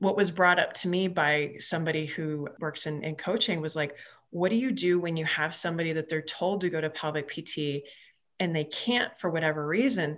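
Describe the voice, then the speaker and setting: The pace is moderate, and an ordinary speaking voice shows ordinary pitch variation. The background is silent and the recording very clean. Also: woman, fairly low pitch for a woman. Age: 40s. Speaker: physical therapist. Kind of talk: casual interview chat.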